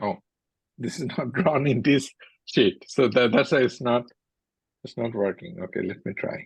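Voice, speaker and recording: A man with a medium pitch and a somewhat breathy voice speaks at a moderate pace with lively intonation. He takes long, frequent pauses. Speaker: university lecturer. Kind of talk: lecture.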